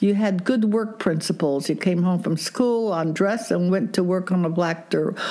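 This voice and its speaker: Noticeable background noise sits behind a woman speaking at a moderate pace and medium pitch, with ordinary pitch variation, very even loudness and hardly any pauses. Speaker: grandmother interviewed about her marriage. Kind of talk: interview, storytelling.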